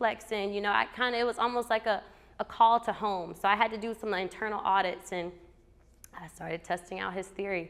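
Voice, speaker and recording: An animated woman in a Southern US accent at a moderate pace. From US South, Alabama. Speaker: motivational speaker. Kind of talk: storytelling talk. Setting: stage with audience.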